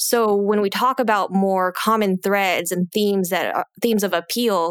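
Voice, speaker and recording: In a normal speaking voice, a woman with an American accent talks at a moderate pace and medium pitch with fairly even intonation, the sound dry and close with no echo and the recording very clean over a silent background. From United States. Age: 30s. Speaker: podcast host and money coach. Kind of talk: casual chat.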